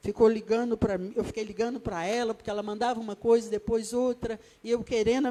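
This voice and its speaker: The woman's voice has a dark, mellow tone, a fairly high pitch and fairly even intonation. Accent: Rio de Janeiro. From Brazil, Rio de Janeiro. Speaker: evangelist, guest preacher. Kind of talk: sermon. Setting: church.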